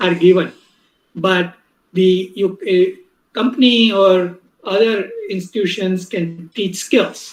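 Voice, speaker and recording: A man's high voice with a Gujarati accent. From India, Mumbai. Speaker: professor. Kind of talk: lecture.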